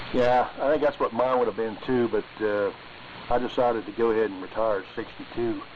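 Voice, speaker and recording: Noticeable background noise runs through the clip. The speaker, a man, goes at a fairly quick clip. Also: medium pitch for a man. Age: 60s. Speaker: retired machinist, ham radio operator. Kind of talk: casual chat. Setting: amateur radio net. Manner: halting, many fillers.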